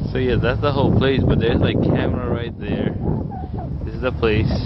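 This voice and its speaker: Loud background noise sits under a man talking at a fairly quick pace. The sound is dry, with no echo. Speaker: vlogger filming. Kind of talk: casual vlog chat. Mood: disappointed, joking. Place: street. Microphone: phone near.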